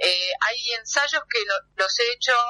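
Recorded with a dry, close sound and no echo, a woman speaks very slowly in a bright, sharp tone with ordinary pitch variation. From Argentina, Buenos Aires area (Temperley). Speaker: theatre director. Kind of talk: phone interview. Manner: hesitant, many fillers.

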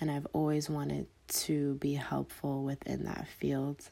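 On a very clean recording with a silent background, a woman speaks at a fairly slow pace with an American accent. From US Northeast, Philadelphia and Delaware. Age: 20s. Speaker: podcast host. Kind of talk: casual monologue answering listener questions. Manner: many filler ums, conversational.

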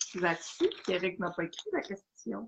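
A woman with a Quebec accent. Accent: Québécois French. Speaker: podcast co-host. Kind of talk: casual chat.

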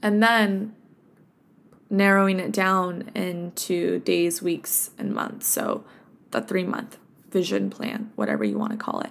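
With a Californian accent, a woman speaks at a fairly slow pace with ordinary pitch variation. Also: medium pitch for a woman. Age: 20s. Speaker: health coach podcaster. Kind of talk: casual solo podcast monologue. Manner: relaxed, conversational with fillers.

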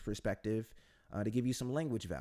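A man with a dark, mellow tone and medium pitch talks at a very fast pace. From United States. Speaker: English teacher and podcast host. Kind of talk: solo monologue podcast. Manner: hesitant, many fillers.

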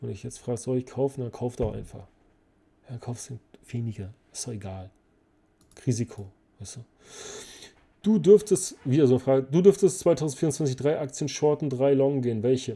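On a very clean recording with a silent background, a man with a dark, mellow tone and medium pitch talks at a moderate pace, somewhat breathy, his intonation lively, his loudness swinging widely, with long, frequent pauses. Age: 40s. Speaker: finance podcast host. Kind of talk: casual Q&A monologue. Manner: animated.

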